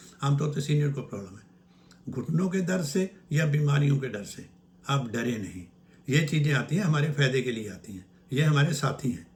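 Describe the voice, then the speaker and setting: Lively in intonation and fairly high for a man, his voice carries vocal fry at a moderate pace. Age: 80s+. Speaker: naturopath. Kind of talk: health advice talk. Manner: informal, conversational.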